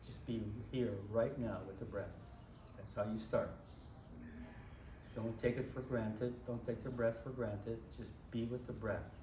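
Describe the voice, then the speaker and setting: A man talks at a medium pitch with monotone, flat intonation and a fairly slow pace, leaving long, frequent pauses. Audible room echo surrounds his voice. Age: 80s+. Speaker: yoga teacher. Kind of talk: interview answers.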